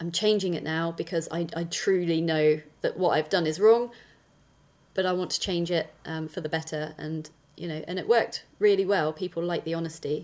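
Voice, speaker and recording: A woman with a southern English accent, fairly low in pitch, at a fairly quick pace and with fairly even intonation. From Dorset, southern England. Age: 40s. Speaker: affiliate marketer and content creator. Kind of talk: interview. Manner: direct, straight-talking.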